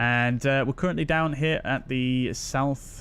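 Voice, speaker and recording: With a Yorkshire accent, a man speaks very slowly at a medium pitch with ordinary pitch variation. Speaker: flight simulator streamer. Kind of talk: live stream commentary and chat. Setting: live stream. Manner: casual, chatty.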